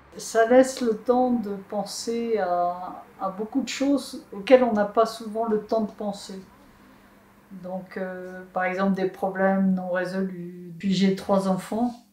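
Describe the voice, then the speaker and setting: At a very slow pace, a woman talks in a dark, mellow tone at a medium pitch with fairly even intonation. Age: 60s. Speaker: solar bike traveler. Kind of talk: interview testimony.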